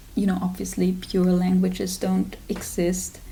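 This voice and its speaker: There's audible room echo around this woman speaking at a medium pitch. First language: German. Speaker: literature student and video creator. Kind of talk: casual vlog talk.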